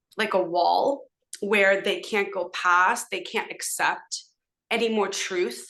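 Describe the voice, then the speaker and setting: A woman's bright, sharp, medium-pitched voice at a very slow pace, with ordinary pitch variation. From Southern California, Los Angeles (San Fernando Valley). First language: Hebrew. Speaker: podcast guest, social media commentator. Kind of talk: casual interview conversation. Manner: hesitant, many fillers.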